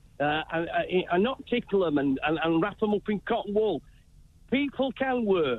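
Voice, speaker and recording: Keeping very even loudness, a man with a Yorkshire accent and a high pitch talks at a moderate pace with very wide pitch swings. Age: 60s. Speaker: caller, retired handyman. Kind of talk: phone-in call. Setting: phone call. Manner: chirpy.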